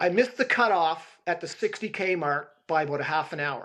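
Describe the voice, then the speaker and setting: The speaker is a man with a high pitch. His intonation is lively. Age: 60s. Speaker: ultra runner. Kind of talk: podcast interview answer.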